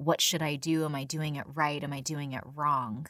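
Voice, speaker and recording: With an American accent, a woman speaks at a fairly slow pace in a very deep, low pitch. The recording is dry and close, with no echo. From San Diego, California. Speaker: comedian and voiceover artist. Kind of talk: casual interview.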